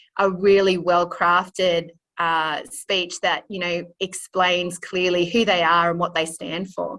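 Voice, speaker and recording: A woman with a strong Australian accent speaks at a very slow pace with hardly any pauses, her bright, sharp tone set at a fairly low pitch and her intonation monotone and flat. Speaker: illustrator and drama teacher. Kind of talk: interview. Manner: hesitant, many fillers.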